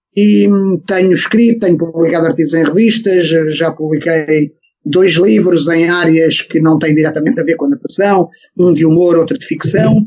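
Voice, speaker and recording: A man with a Lisbon accent, high-pitched, with ordinary pitch variation, very even loudness and a moderate pace. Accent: European Portuguese, Lisbon. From Portugal, Lisbon area (Algés). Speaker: swimming coach. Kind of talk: podcast interview. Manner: hesitant, many fillers and repetitions.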